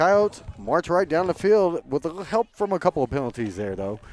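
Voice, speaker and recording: Loud and at a very fast pace, a man talks in a high voice with a dry, close sound and no echo. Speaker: play-by-play announcer. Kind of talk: live sports commentary. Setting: live broadcast at a high school football game.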